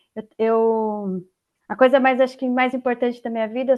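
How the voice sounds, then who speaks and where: A woman speaks in an interior São Paulo accent at a fairly quick pace. Her intonation is monotone and flat. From interior of São Paulo state, Brazil. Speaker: tax consultant, guest lecturer. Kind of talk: online lecture. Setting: video call from home.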